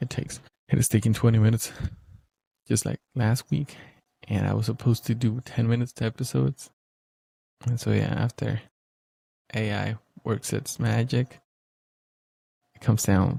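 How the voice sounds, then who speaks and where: A man talks at a moderate pace with long, frequent pauses, his medium-pitched voice showing ordinary pitch variation and vocal fry. The tone is dark and mellow, and the sound is dry and close with no echo. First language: Spanish. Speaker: podcaster. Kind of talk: solo casual podcast monologue. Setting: home room studio, talking to camera. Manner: halting, with frequent repetitions.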